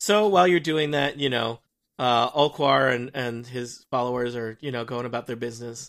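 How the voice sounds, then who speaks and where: A man with a medium-pitched voice, an unremarkable speaking voice, ordinary pitch variation and a moderate pace. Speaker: game master. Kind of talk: tabletop roleplaying game podcast.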